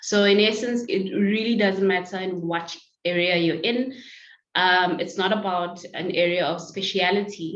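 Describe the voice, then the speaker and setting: Fairly even intonation and a fairly slow pace come through against audible room echo. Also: woman, medium pitch for a woman. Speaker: lawyer. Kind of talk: interview. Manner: loud.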